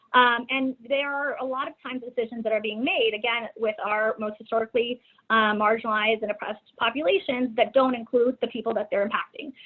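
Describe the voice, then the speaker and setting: A woman with an American accent talks at a very fast pace, with hardly any pauses. Her voice is fairly high in pitch, with ordinary pitch variation. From Texas, San Antonio. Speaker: domestic violence policy coordinator. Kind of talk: webinar presentation. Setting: online webinar. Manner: halting, many fillers.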